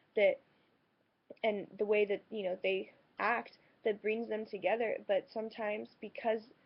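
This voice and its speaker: Her pitch is fairly high for a woman, and her intonation is monotone and flat. She keeps a moderate pace with long, frequent pauses. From France. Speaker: vlogger. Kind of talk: personal vlog monologue. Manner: hesitant, many fillers.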